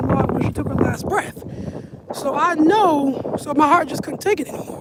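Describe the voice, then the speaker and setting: Amid noticeable background noise, a woman talks fairly quickly with ordinary pitch variation. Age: 30s. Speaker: vlogger. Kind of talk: casual chat. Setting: outdoors. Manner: casual, rambling pace.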